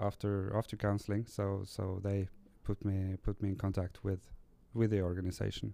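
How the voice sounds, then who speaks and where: In a very clean recording with a silent background, a dark, mellow voice with a Norwegian accent moves at a moderate pace in monotone, flat intonation. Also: man. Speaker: recovering gambling addict, support worker. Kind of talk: interview. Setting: recording on location in Tromsø. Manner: halting.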